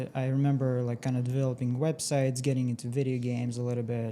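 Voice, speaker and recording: A man in a Russian accent, dark and mellow in tone, with monotone, flat intonation. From Russia, moved to US at fourteen. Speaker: tech entrepreneur. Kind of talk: interview.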